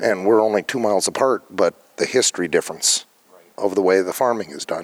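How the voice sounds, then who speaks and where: A man speaks at a fairly quick pace with an Upper Midwest accent. The sound is dry and close, with no echo. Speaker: farmer. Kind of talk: interview.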